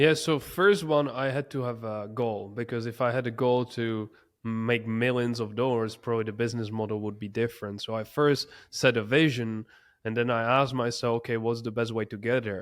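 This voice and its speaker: Fairly even intonation in a medium-pitched male voice, very clean recording, silent background. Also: fairly quick pace. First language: not English. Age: 20s. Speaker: entrepreneur. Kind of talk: interview.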